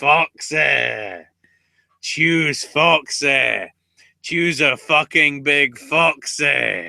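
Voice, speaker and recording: Putting on a character voice, a man speaks very slowly in a raspy, fairly high pitch. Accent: Scottish. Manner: loud and urgent.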